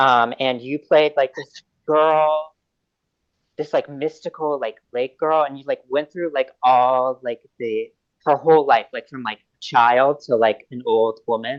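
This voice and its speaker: A man's fairly high-pitched voice with big swings in loudness. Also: fairly slow pace. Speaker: interviewer. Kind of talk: interview questions, casual. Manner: enthusiastic, hesitant.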